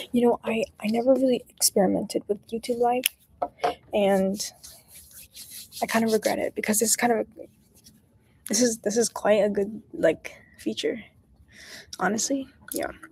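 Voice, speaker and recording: Soft-spoken and somewhat breathy, a woman with a dark, mellow tone and a fairly high pitch talks at a moderate pace with ordinary pitch variation and long, frequent pauses, in a dry, close sound with no echo. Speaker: study-with-me streamer. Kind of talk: casual livestream chat. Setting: public area. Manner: quiet, soft-spoken.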